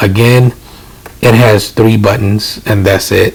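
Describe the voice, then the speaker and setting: The speaker is soft-spoken, with a monotone, flat intonation and a fairly slow pace. Noticeable background noise runs underneath. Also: man. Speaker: DJ and tech reviewer. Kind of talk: casual tech impressions to camera. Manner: hesitant, many filler words.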